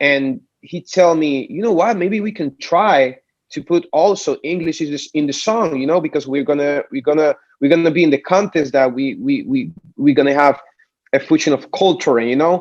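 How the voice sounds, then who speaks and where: A man with a Puerto Rican accent talks at a moderate pace and fairly high pitch with lively intonation. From Puerto Rico. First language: Spanish. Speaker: singer. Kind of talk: interview. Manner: halting, many repeated words.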